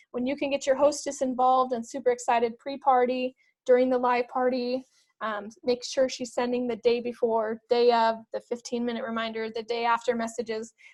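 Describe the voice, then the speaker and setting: A woman's high-pitched voice. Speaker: direct sales consultant / trainer. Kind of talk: screen-share tutorial. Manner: fast; casual, filler-heavy.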